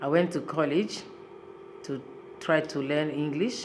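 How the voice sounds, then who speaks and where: Audible room echo surrounds a woman with a very deep, low voice who speaks at a moderate pace. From Congo. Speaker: human rights activist. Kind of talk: interview testimony.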